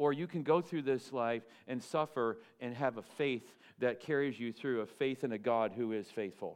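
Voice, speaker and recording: A man uses a normal speaking voice, medium in pitch with ordinary pitch variation, and talks at a moderate pace. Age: 50s. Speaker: pastor. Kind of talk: sermon. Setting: church.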